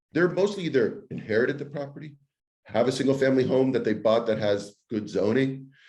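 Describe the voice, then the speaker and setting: Speaking at a fairly quick pace with lively intonation, a man at a medium pitch is heard with audible room echo. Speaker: real estate broker. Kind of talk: interview.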